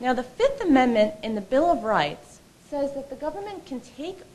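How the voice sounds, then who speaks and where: Very wide pitch swings with audible room echo. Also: woman. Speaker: lawyer at a legal advocacy group. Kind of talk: conference presentation. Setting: stage with audience. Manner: loud.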